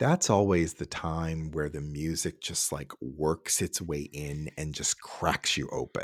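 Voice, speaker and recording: On a very clean recording with a silent background and a dry, close sound with no echo, a man with an American accent speaks at a very slow pace with hardly any pauses, a very deep, low pitch and fairly even intonation. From Cincinnati, Ohio, US Midwest. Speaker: orchestra administrator, former horn player. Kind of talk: casual interview conversation.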